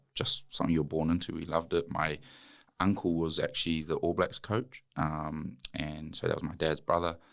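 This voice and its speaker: The man has a very deep, low pitch and a New Zealand accent. His intonation is fairly even. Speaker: former rugby player and wellness entrepreneur. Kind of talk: podcast interview. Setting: studio.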